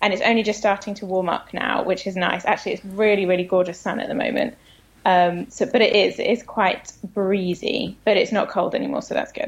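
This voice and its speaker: Speaking at a fairly quick pace in a British accent, a woman uses a medium pitch with ordinary pitch variation. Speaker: comedy writer. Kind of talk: casual chat. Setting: phone call.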